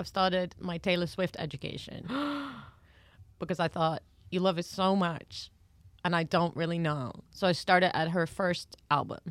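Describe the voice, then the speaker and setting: In a very clean recording with a silent background, the speaker talks at a moderate pace in a monotone, flat delivery with long, frequent pauses. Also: woman, fairly low pitch for a woman. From foreign, not from England. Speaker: podcast co-host. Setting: recording studio.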